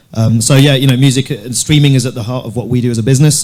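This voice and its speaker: A man with a London accent speaks at a very fast pace in a dark, mellow tone, his intonation monotone and flat. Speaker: music streaming entrepreneur. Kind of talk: panel discussion.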